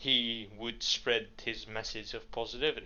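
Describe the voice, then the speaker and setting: With a strong Dutch accent, a man speaks at a fairly slow pace. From Netherlands. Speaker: podcast co-host. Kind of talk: casual chat.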